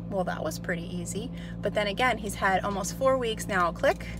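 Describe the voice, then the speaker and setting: A woman talks at a fairly quick pace over background music, the sound dry with no echo. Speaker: dog trainer. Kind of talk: tutorial. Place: car. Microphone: phone near.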